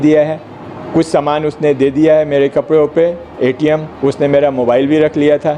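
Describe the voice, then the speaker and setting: Over noticeable background noise, a man speaks at a fairly high pitch in a monotone, flat delivery. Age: 70s. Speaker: medical scientist. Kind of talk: press conference statement. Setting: press conference in an office.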